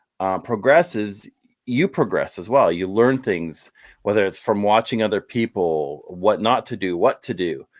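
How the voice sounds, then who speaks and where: A man with a Canadian accent has a plain, everyday voice, fairly low in pitch, with lively intonation at a moderate pace. The recording is very clean, with a silent background. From Canada. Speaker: YouTube travel vlogger. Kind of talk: casual chat.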